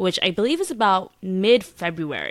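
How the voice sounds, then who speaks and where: At a fairly quick pace, a woman talks in a plain, everyday voice. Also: very clean recording, silent background. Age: 20s. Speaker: podcast co-host. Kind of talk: casual chat.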